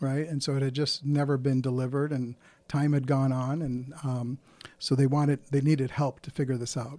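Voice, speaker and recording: A man with a fairly high pitch and a dark, mellow tone speaks at a fairly quick pace in a monotone, flat way. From India, moved to South Dakota at eleven. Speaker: business consultant, former corporate executive. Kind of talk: interview. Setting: studio.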